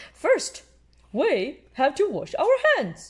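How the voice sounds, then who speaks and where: The voice sits high in pitch. It is a put-on character voice. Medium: read story.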